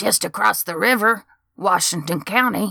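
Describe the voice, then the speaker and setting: Using a put-on character voice, a female-sounding speaker at a middle pitch talks at a moderate pace in a very clean recording with a silent background. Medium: read story. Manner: eager, excitable, rambling.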